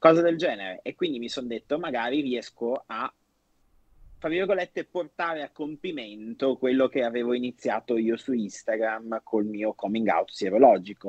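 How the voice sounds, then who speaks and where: A man speaks at a moderate pace and medium pitch with lively intonation, in a plain, everyday voice. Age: 20s. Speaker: personal trainer living with HIV, documentary subject. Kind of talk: casual chat.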